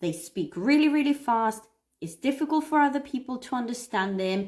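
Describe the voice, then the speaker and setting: Speaking at a moderate pace with a non-native accent, a woman uses a high pitch with very wide pitch swings. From Cyprus. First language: Greek. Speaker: English teacher. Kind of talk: live stream lesson. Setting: live stream. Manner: animated.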